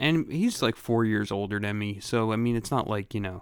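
Fairly low in pitch, a man talks at a fairly quick pace. The recording is very clean, with a silent background. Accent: American. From Philadelphia, Grays Ferry. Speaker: podcast co-host. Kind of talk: casual chat.

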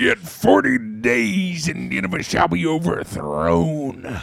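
A man does a put-on character voice at medium pitch. He talks at a very slow pace with very wide pitch swings. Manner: booming, dramatic.

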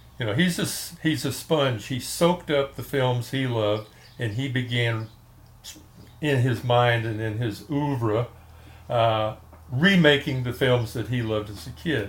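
With a Texan accent, a man of medium pitch speaks somewhat breathily at a fairly slow pace, using ordinary pitch variation and long, frequent pauses. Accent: Texan American. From Texas, Fort Worth. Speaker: film music fan and author. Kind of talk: casual interview.

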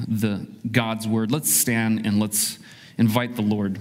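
The speech is very slow with fairly even intonation, set against noticeable background noise. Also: man. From child of immigrants. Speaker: pastor. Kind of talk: sermon. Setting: church. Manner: conversational, frequent fillers.

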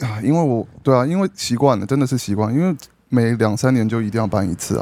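A man speaks at a very fast pace with lively intonation. His tone is dark and mellow. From grew up abroad (Brunei and elsewhere), born in Taiwan. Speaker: podcast guest. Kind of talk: casual chat. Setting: at a dinner table, eating while recording.

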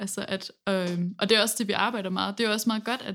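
An unremarkable speaking voice with fairly even intonation. The recording is very clean, with a silent background. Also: woman. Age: 20s. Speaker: singer in a band, music student. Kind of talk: casual interview chat. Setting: university classroom.

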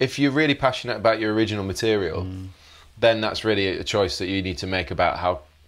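Very fast speech in a Yorkshire accent. The recording is very clean with a silent background. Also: man. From northern England, Leeds, West Yorkshire. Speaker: guitarist. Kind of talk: casual interview.

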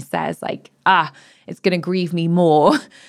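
A woman with a British accent speaks at a fairly low pitch and a moderate pace in a monotone, flat intonation. The recording is very clean, with a silent background. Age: 30s. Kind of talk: reflective personal conversation.

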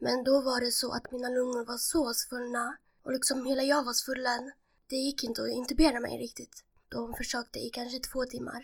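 A woman talks at a moderate pace in a high-pitched voice. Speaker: transplant patient with cystic fibrosis. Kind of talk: casual interview, telling personal story.

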